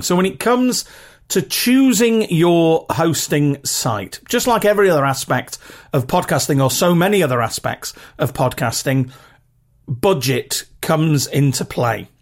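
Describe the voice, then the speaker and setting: The speaker goes at a fairly slow pace with a British accent. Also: very clean recording, silent background. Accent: regional British English, rough. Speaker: podcast host. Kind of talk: solo podcast monologue with practical tips. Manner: casual, chatty, filler words.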